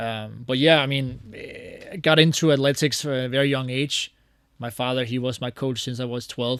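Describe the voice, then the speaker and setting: With a Danish accent, a man talks at a moderate pace and medium pitch, his intonation fairly even. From Denmark, Copenhagen. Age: 30s. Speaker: athlete. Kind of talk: interview. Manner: hesitant, many fillers.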